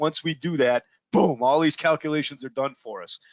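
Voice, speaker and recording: A man's fairly even intonation comes through as he speaks at a moderate pace. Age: 60s. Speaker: product trainer. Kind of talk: webinar presentation. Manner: halting, many fillers and repeats.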